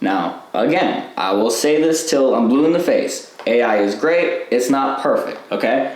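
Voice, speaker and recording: A man speaks at a fairly slow pace. The room echo is audible and background noise is noticeable. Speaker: online business coach. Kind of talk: live online class. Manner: casual, filler-heavy.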